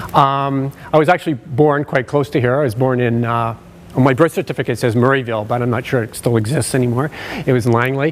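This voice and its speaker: This man talks at a very fast pace in a Canadian accent. His intonation stays fairly even. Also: medium pitch for a man. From British Columbia, Canada. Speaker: occupational sleep specialist. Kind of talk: conference presentation. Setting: stage with audience. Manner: loud.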